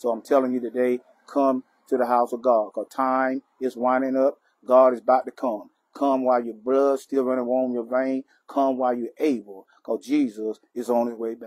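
In a dry, close sound with no echo, a man talks at a moderate pace and medium pitch with a slightly mellow tone and little pitch movement.

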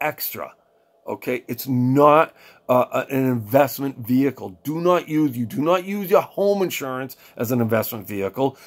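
A man speaks at a moderate pace, his intonation lively. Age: 40s. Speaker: financial coach, podcast host; financial advice vlogger. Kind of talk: solo monologue, financial advice; casual advice talk to camera. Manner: casual, halting with frequent fillers and repeats. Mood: earnest, persuasive. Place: home room. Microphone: webcam.

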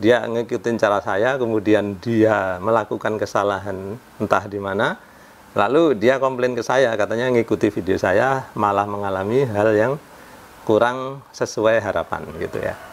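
This man's pitch sits fairly low. He talks at a moderate pace with fairly even intonation. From Indonesia. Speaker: home repair YouTuber; home repair youtuber. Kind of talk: casual tutorial vlog. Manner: conversational, frequent filler 'ya'. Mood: calm, explaining a complaint. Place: home room. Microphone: lapel.

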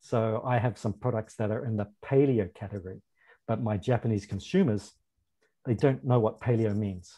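Against a quiet background, a man talks at a moderate pace in a fairly low pitch, with ordinary pitch variation and a dark, mellow tone. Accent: New Zealand. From New Zealand. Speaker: food importer; panelist. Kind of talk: panel discussion. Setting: video call. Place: home room. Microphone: webcam.

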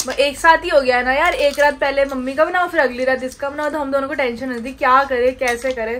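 A woman's high-pitched voice at a moderate pace, fairly even in intonation, hardly any pauses, over light background noise. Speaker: vlogger. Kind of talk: casual vlog chat. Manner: soft-spoken. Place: home room. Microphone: phone near.

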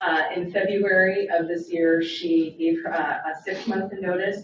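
This woman's voice sits at a fairly low pitch. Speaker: deputy city attorney and prosecutor. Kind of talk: presentation to city council. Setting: city council meeting. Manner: loud.

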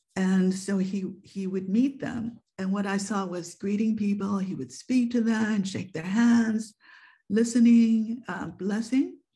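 A woman's somewhat breathy, dark, mellow voice in an American accent, at a very slow pace with ordinary pitch variation, over a quiet background. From Japan, then US and UK. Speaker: photographer and author. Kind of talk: online presentation. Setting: video call. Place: home room. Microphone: webcam.

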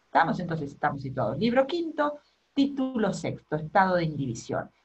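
At a fairly quick pace, a woman speaks in a somewhat breathy voice with very wide pitch swings. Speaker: law lecturer. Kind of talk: lecture. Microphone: webcam.

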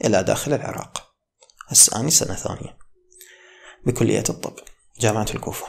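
In an Iraqi accent, a man talks at a moderate pace with long, frequent pauses. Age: 20s. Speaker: medical student and YouTuber; YouTuber. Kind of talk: motivational talk. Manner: casual. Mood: calm, reflective. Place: home room. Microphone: studio mic.

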